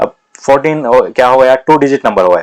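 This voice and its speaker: Recorded with a dry, close sound and no echo, a man talks at a moderate pace in a medium pitch. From India, Karnataka (Hassan district). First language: Kannada (speaking Hindi). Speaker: maths teacher for exam prep. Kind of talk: lecture; casual chat.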